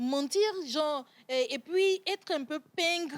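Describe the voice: Speaking slowly, a woman with a high-pitched voice uses ordinary pitch variation.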